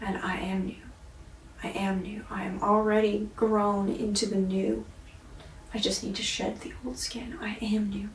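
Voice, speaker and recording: A woman with a medium-pitched voice talks at a fairly slow pace with fairly even intonation, against noticeable background noise. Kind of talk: casual talk to camera, video-diary self-reflection. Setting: indoors, basement apartment. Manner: slow, reflective, contemplative.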